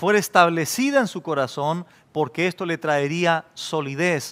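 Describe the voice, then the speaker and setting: Lively intonation marks a man's high-pitched speech. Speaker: pastor. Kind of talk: expository sermon. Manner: measured, earnest, teaching. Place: studio. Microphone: headset.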